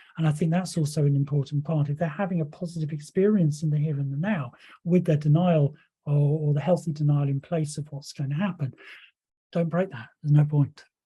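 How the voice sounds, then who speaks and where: A man's somewhat breathy, dark, mellow voice, fairly high in pitch, at a fairly quick pace with fairly even intonation. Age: 60s. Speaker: hypnotherapy trainer. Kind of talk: lecture. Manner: hesitant, many fillers.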